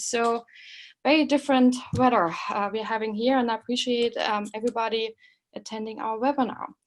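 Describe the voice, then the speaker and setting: Against a quiet background, a woman with a German accent speaks at a moderate pace in a high pitch with fairly even intonation. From Germany (East Germany). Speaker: professor. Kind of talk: webinar lecture. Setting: online webinar. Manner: halting, many fillers.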